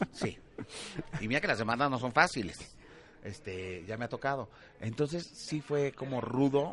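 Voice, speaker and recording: Speaking with a Mexican accent, a man of medium pitch sounds animated, his intonation lively at a moderate pace, with long, frequent pauses. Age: 40s. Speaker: TV entertainment presenter. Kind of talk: casual interview.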